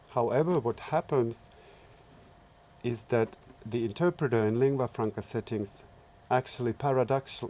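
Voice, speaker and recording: A man with a Finnish accent speaks at a medium pitch and a moderate pace. His tone is dark and mellow, and his intonation is fairly even. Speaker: researcher and public service interpreter. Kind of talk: short talk. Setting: seminar.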